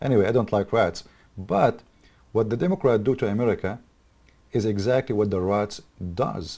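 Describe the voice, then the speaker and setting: With an Arabic accent, a man speaks at a fairly low pitch in a dark, mellow tone, with ordinary pitch variation. His pace is moderate, broken by long, frequent pauses. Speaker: political commentator. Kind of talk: political commentary monologue. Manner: animated; halting.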